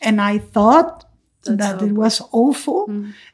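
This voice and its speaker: A woman with a Spanish accent speaks with lively intonation. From Venezuela. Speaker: mother of the host. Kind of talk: casual chat. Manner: halting, many repetitions.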